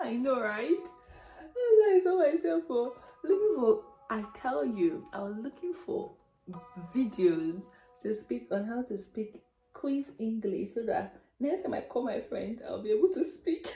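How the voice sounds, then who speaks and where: Over background music, a woman speaks in a high pitch with very wide swings up and down. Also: fairly slow pace. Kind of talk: casual story time talk to camera. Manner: chatty, hesitant with fillers.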